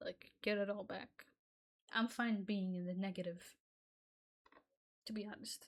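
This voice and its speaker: Somewhat breathy, a woman speaks with long, frequent pauses. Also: medium pitch for a woman, moderate pace. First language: Arabic. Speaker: gaming YouTuber. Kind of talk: gameplay commentary rant. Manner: animated, stammering.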